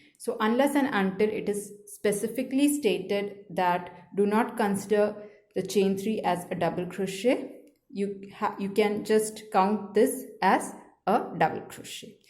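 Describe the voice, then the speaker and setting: A woman at medium pitch, fairly slow pace and fairly even intonation, with audible room echo. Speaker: crochet teacher. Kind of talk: tutorial.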